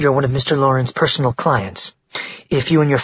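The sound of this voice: An unforced reading voice with fairly even intonation against a quiet background.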